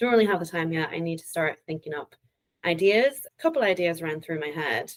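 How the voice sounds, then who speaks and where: Her loudness swings widely as this woman talks at a fairly quick pace in a fairly low pitch. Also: ordinary pitch variation. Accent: Irish. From Northern Ireland. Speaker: data analytics consultant. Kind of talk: interview.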